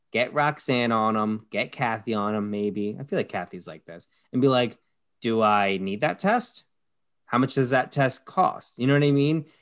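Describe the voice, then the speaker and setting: Pitch varies in an ordinary way at a moderate pace. It is a plain, everyday voice against a quiet background. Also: man, medium pitch for a man. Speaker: podcast host.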